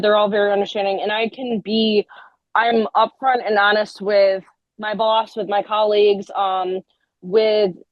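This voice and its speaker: A woman is speaking. Her pitch is fairly high. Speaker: group home manager. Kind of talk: interview. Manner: loud; fast.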